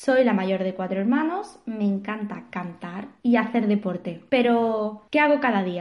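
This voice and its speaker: Her pace is fairly slow and her intonation lively. The woman's pitch is fairly high. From Spain, Seville. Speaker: marketing consultant and podcast host. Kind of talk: podcast self-introduction monologue.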